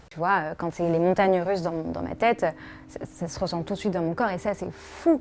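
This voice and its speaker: The speaker talks at a fairly quick pace with fairly even intonation while music plays in the background. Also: woman. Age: 20s. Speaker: podcast founder. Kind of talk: personal testimony. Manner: soft-spoken; hesitant, many fillers.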